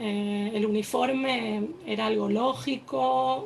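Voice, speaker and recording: A woman with an Argentine accent speaks with very wide pitch swings. Noticeable background noise and audible room echo fill the recording. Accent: Argentine Spanish, noticeable to listeners. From Argentina, Buenos Aires. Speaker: army reservist, activist. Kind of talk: personal testimony at panel event. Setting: stage with audience. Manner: hesitant, many fillers.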